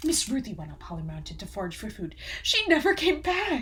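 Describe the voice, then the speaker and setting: A high-pitched, put-on character voice at a fairly quick pace over clear background noise. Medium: read story. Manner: worried, careful.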